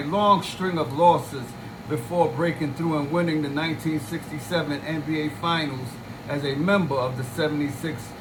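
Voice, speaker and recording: There is noticeable background noise and audible room echo. A man speaks at a fairly high pitch. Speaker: sports channel host. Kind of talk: reading aloud.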